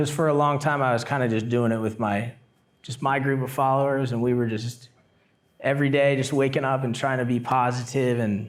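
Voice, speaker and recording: Speaking with an American accent, a man at medium pitch delivers flat, monotone intonation at a fairly quick pace. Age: 30s. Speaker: semi-pro surfer and YouTuber. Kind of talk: casual interview chat.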